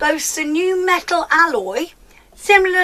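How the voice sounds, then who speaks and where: A woman speaks in a raised, projected voice. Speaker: beauty vlogger. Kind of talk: product review vlog. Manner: stumbling over words.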